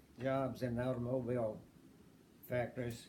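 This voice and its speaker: An American accent marks a man's fairly quick speech at medium pitch, with a dark, mellow tone and audible room echo. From US South, southwest Virginia (Appalachia). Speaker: interviewee in family oral history. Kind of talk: oral history interview.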